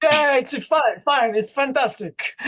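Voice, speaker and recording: The man's intonation is lively. He talks with an Italian accent. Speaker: podcast guest.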